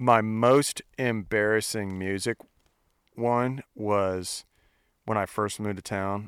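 Speaking with an American accent, a man talks very slowly with long, frequent pauses and fairly even intonation. His pitch is fairly low, and the sound is dry and close with no echo. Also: very clean recording, silent background. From US Midwest. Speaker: country singer. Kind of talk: casual chat. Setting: outdoors.

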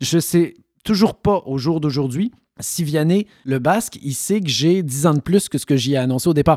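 His tone is dark and mellow, with ordinary pitch variation. The man keeps a moderate pace. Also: fairly high pitch for a man, dry, close sound with no echo. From Quebec. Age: 40s. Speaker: actor. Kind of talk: interview.

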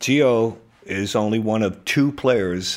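A man speaks in a New Jersey accent with a fairly low pitch and ordinary pitch variation. The recording is very clean, with a silent background. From New Jersey (Hoboken). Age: 70s. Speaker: real estate agent. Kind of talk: casual chat.

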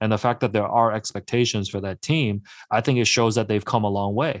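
This man has a plain, everyday voice at a medium pitch, talking at a fairly quick pace on a very clean recording with a silent background. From Hong Kong, then Markham, Ontario. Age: 30s. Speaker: sports journalist and author. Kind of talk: radio interview.

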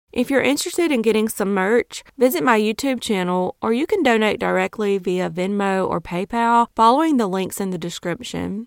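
With a Southern US accent, a woman talks at a moderate pace with hardly any pauses, her fairly high voice carrying lively intonation in a dry, close sound with no echo. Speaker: true crime podcaster. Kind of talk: true-crime narration, scripted-sounding storytelling read in a steady, serious tone. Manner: even, measured, earnest narrator's delivery; dramatic, judgmental asides about the 'crazy' ex.

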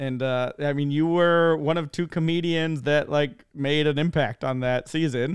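A man with an ordinary speaking voice talks at a moderate pace, in a fairly high pitch with fairly even intonation. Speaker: podcast co-host. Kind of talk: casual interview chat. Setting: video call.

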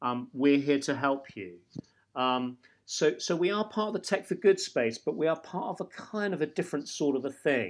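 Intonation is lively throughout. The recording is very clean, with a silent background. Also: man, fairly high pitch for a man, moderate pace. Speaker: startup co-founder. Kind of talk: interview. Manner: rambling, hesitant.

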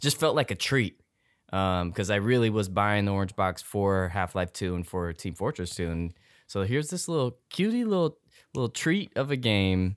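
On a very clean recording with a silent background, a man with a plain, everyday voice speaks at a fairly low pitch and a moderate pace, his intonation lively. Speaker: returning podcast guest. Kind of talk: casual chat.

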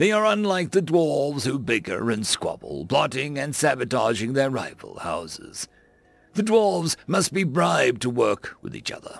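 A man does a put-on character voice. It sits at a fairly high pitch and a moderate pace. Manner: stern, lecturing, growing fierce.

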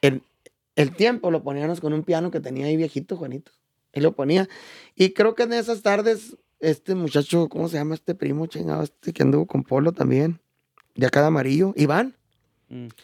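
Speaking at a fairly quick pace yet with long, frequent pauses, a man with a fairly high pitch and ordinary pitch variation is heard in a dry, close sound with no echo. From Chihuahua, Mexico. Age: 40s. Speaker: norteño musician. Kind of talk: casual interview.

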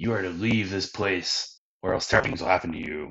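A booming, growling put-on character voice from a man, very deep and low in pitch, at a fairly quick pace. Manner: commanding, threatening.

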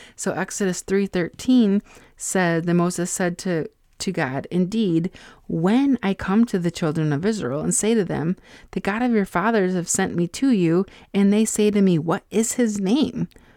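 Recorded very clean with a silent background and a dry, close sound with no echo, a woman speaks at a moderate pace and medium pitch, her dark, mellow tone showing ordinary pitch variation. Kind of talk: solo faith-based podcast teaching. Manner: loud, animated.

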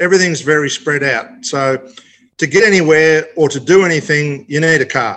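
His tone bright and sharp, a man with fairly high pitch talks at a moderate pace using ordinary pitch variation. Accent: Australian. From Australia. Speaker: racing driver. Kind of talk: casual chat. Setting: remote call.

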